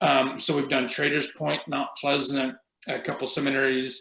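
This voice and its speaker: A man speaks at a moderate pace. His tone is bright and sharp, with vocal fry. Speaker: energy auditor. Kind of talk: webinar presentation.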